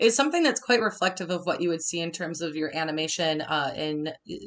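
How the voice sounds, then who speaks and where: A woman's fairly low voice in a Minnesota accent, bright and sharp in tone, fairly quick, with ordinary pitch variation. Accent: Minnesotan. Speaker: design instructor. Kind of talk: webinar tutorial. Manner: casual, animated.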